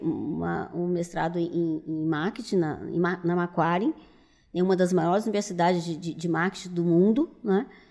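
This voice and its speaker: Against a quiet background, a woman speaks at a moderate pace in a dark, mellow tone with a fairly low pitch. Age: 70s. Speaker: business owner. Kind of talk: interview.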